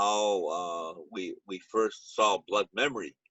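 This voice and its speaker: A very slow-paced man with a Lakota accent. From Pine Ridge Reservation, South Dakota. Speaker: retired teacher and powwow emcee. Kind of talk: casual panel Q&A. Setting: video call. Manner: halting, many fillers.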